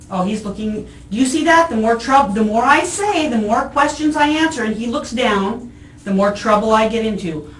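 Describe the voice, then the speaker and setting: A woman's fairly high voice with lively intonation and a moderate pace, with noticeable background noise and audible room echo. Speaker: arrested woman. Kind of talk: police interview. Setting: jail interview room. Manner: loud.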